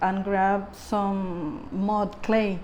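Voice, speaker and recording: A woman speaks in a monotone, flat voice with audible room echo. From Puerto Rico. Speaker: artist and fashion designer. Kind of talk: interview. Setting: artist's studio. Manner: halting, many repetitions.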